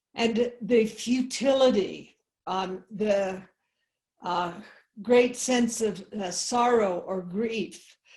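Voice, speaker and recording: A woman speaks at a very slow pace with a fairly high pitch. Her intonation stays fairly even, and her voice is somewhat breathy. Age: 70s. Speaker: Zen abbot and medical anthropologist. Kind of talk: online talk to a group. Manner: halting, many fillers.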